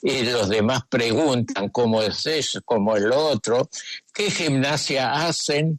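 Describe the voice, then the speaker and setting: The sound is dry and close, with no echo. The speaker goes at a fairly slow pace. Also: man. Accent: Argentine. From Argentina. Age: 80s+. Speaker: psychoanalyst. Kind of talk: radio interview answer.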